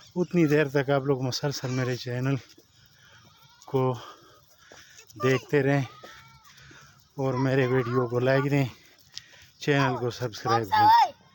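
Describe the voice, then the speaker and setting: Over noticeable background noise, a man speaks at a very slow pace in a fairly high pitch with fairly even intonation. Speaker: vlogger. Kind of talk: vlog walk-and-talk. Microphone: poor mic, voice not clear.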